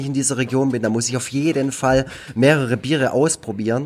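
A man's words tumble out very fast while his intonation stays fairly even. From Baden-Württemberg, Germany (Nagold). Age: 30s. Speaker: cartoonist and youth care worker. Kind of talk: casual chat.

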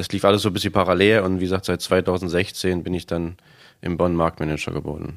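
Very deep, low male voice, flat and monotone at a fairly quick pace, on a very clean recording with a silent background. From eastern Germany. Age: 30s. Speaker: supermarket manager. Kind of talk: interview.

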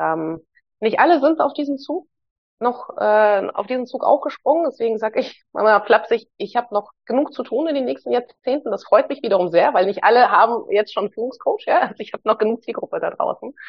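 A woman with a Hamburg accent, high-pitched and at a fairly quick pace. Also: lively intonation. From Hamburg, Germany (born in Moscow, moved at nine). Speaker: psychologist and leadership coach. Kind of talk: casual interview conversation.

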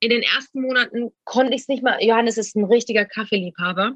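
The sound is close and dry, without any echo. A woman is speaking in a high pitch. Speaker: reality TV personality. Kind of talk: casual interview. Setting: outdoors.

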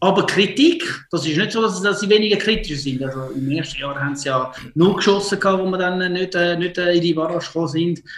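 Fairly quick pace from a man with a high pitch, ordinary pitch variation and noticeable background noise. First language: Italian or Swiss German (speaking German). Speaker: football coach. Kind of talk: casual interview. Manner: halting.

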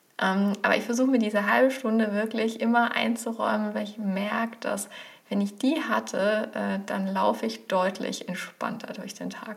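A woman at a moderate pace, against noticeable background noise. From Germany, village. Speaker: professor of digital marketing. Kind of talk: casual interview.

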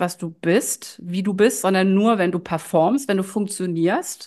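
Speaking at a fairly slow pace against a quiet background, this is a plain, everyday voice with ordinary pitch variation. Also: woman. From Germany, Düsseldorf area. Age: 50s. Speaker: life coach and shaman. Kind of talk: podcast interview.

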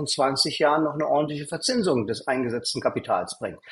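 Lively intonation marks this man's somewhat breathy, fairly high-pitched voice. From East Berlin, Germany. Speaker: angel investor and entrepreneur. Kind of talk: interview.

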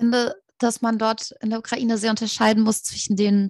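At a fairly quick pace, a woman speaks in a fairly high, somewhat breathy voice, captured very cleanly against a silent background with a dry, close sound and no echo. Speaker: student and podcaster. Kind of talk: interview.

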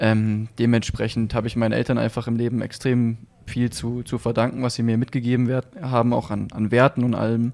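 A man talks at a fairly quick pace and a medium pitch. His intonation is monotone and flat. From Leipzig, eastern Germany. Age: 20s. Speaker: middle-distance runner. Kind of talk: casual interview.

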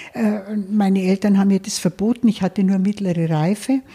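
Speaking at a moderate pace, a woman has a dark, mellow tone at medium pitch, somewhat breathy, with a dry, close sound and no echo. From Lower Bavaria, Germany. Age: 70s. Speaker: financial advisor. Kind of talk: interview. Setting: her office.

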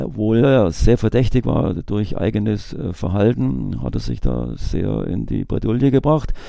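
The man's voice is fairly low, with vocal fry. His pitch swings very widely, and his pace is fairly slow. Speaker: retired police investigator. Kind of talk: interview.

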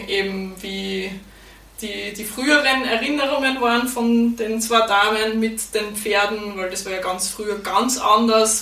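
A woman with an Austrian accent speaks at a fairly slow pace and a medium pitch, with audible room echo and noticeable background noise. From Austria, Styria. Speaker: podcaster and horse stable owner. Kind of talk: interview.

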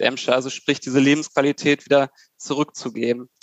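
A man's fairly high-pitched, flat monotone at a fairly quick pace. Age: 30s. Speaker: civil engineer. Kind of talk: casual chat.

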